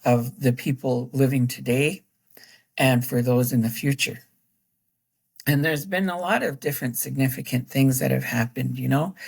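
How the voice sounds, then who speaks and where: A woman with a very deep, low voice and vocal fry talks at a moderate pace with ordinary pitch variation and long, frequent pauses. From northern Wisconsin, moved from Chicago at eight. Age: 60s. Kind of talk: casual interview chat. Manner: halting, many fillers.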